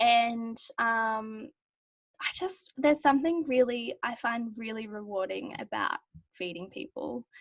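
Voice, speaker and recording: A woman with an Australian accent at fairly high pitch and fairly slow pace, with lively intonation and big swings in loudness. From rural Australia, Victorian border area. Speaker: university student. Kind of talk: casual chat.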